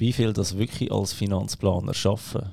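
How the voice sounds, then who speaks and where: Using ordinary pitch variation, a man with a Swiss accent talks at a fairly slow pace in a dark, mellow tone. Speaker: podcast host. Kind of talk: podcast interview. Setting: podcast studio.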